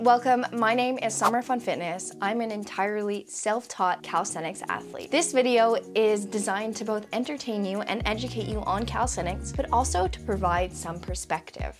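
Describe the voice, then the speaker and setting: A woman at a moderate pace with hardly any pauses, over clear music in the background. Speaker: fitness content creator. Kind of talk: casual vlog chat. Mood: earnest, encouraging. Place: home room. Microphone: lapel.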